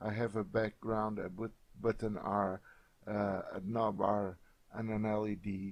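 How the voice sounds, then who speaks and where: Speaking fairly slowly with an even, monotone delivery, a man with a Portuguese accent has a fairly low voice. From Portugal. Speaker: software tutorial creator. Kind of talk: tutorial. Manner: hesitant, many filler sounds.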